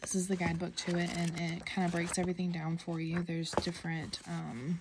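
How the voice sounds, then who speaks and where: With an American accent, a woman speaks in a fairly low, somewhat breathy voice with monotone, flat intonation. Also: fairly quick pace. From US South. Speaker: tarot deck reviewer. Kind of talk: casual show-and-tell video. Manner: hesitant, many fillers.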